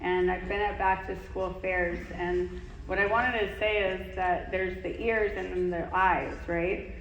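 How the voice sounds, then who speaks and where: A woman speaking at a fairly slow pace with hardly any pauses, with audible room echo and noticeable background noise. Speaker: conference speaker. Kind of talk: Q&A at conference talk. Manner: animated.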